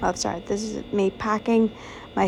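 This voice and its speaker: Noticeable background noise is present. Over it, a woman talks at a medium pitch. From Northern Ireland. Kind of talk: casual vlog voice-over.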